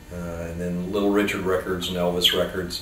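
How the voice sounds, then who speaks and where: A man with an American accent speaks at a very deep, low pitch, with audible room echo and noticeable background noise. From US South, Tampa, Florida. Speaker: rock and roll musician. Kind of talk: interview reminiscence. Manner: casual, hesitant with fillers.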